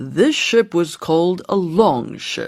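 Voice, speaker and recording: A man puts on a character voice at a high pitch. He speaks at a very slow pace. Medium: read story.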